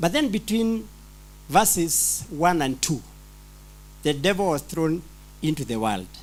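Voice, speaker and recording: A man with a non-native accent speaks at a fairly slow pace with a fairly high pitch, very wide pitch swings and long, frequent pauses. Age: old. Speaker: pastor attending conference. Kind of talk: audience question. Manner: halting, repetitive.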